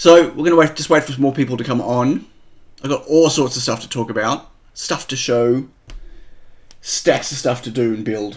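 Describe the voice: Using a put-on character voice, a man sounds husky and croaky at a medium pitch, moving at a moderate pace with long, frequent pauses.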